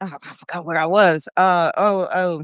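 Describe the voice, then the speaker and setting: A woman talks at a very slow pace. The sound is dry and close, with no echo. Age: 70s. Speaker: vegan chef and restaurant owner. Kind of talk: podcast interview. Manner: animated; halting.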